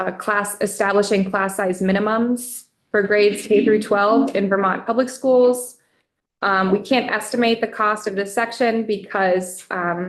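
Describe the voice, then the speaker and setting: Delivered at a fairly slow pace, this is a normal speaking voice. Its intonation stays fairly even. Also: woman. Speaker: legislative fiscal analyst. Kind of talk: committee testimony.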